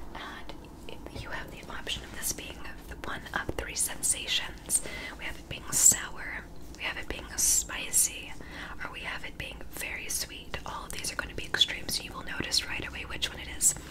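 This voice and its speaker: Soft-spoken and gentle in tone, a woman talks at a moderate pace against loud background noise. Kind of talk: soft-spoken role-play to viewer. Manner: soft, gentle ASMR close-mic voice. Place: home room.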